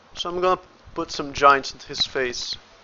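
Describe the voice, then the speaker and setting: Noticeable background noise sits behind a man's voice. He talks at a moderate pace with fairly even intonation. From Brazil. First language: Portuguese. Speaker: indie game developer and 3D artist. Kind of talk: livestream tutorial. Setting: livestream at the computer. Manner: casual, thinking aloud; halting, with stutters.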